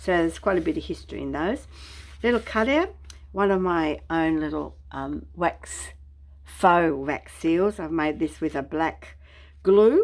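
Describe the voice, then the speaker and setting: On a very clean recording with a silent background, a woman with an Australian accent talks at a moderate pace. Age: 70s. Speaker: craft YouTuber. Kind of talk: craft show-and-tell tutorial. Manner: relaxed, casual with many fillers.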